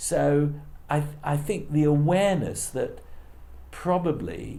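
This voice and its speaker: A man talks in a British accent with a dark, mellow tone. Room echo is audible around his voice. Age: 60s. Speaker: politics professor. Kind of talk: interview. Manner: halting.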